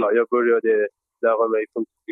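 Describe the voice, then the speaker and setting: A man talks at a fairly slow pace. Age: 30s. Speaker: board election candidate. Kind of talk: interview. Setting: on a train. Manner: hesitant.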